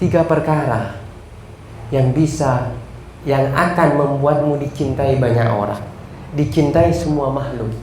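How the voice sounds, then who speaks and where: Amid noticeable background noise and audible room echo, a man with a fairly high voice and ordinary pitch variation talks fairly slowly, with long, frequent pauses. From Madura, Sampang. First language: Madurese (speaking Indonesian). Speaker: Islamic religious teacher. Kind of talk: religious lecture.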